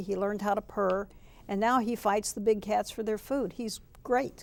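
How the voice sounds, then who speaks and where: Using a plain, everyday voice, a woman with an American accent speaks at a medium pitch and moderate pace, with fairly even intonation. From Texas. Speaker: clinical social worker. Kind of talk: interview.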